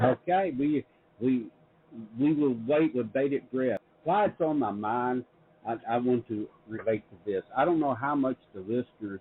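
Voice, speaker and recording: With a Southern accent, a man talks at a moderate pace, his medium pitch showing ordinary variation. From US South, Middle Tennessee. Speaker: publisher and show host. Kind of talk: interview conversation. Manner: halting with many repetitions.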